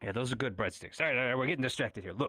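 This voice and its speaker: At a very fast pace, a man puts on a raspy character voice at a medium pitch with ordinary pitch variation. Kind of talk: parody noir detective voice-over. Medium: stage play. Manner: brusque, wisecracking.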